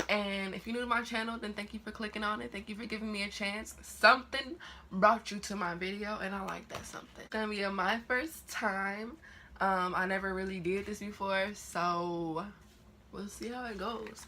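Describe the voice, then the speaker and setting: A woman talks at a moderate pace with a medium pitch and ordinary pitch variation. Her tone is bright and sharp, with big swings in loudness. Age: young. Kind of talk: casual talk to camera.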